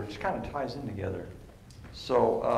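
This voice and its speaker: A man talks at a moderate pace, with audible room echo and light background noise around him. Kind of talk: sermon-style teaching talk. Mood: warm, relaxed. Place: church. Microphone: headset.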